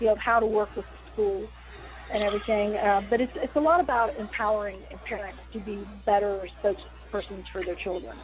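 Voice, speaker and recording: Her loudness swinging widely, a woman with an American accent speaks at a fairly quick pace. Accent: West Virginia accent, shows more when tired. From West Virginia. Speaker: wrestling promotion owner. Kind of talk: interview.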